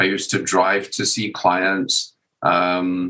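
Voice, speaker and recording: The man's voice sits at a fairly low pitch. Its tone is bright and sharp. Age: 60s. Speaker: author. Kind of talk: casual chat. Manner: halting.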